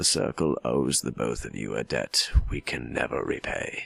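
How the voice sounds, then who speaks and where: A man puts on a raspy character voice at a moderate pace. The sound is dry and close with no echo, and faint music plays in the background. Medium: solo performance. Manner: wry, tired.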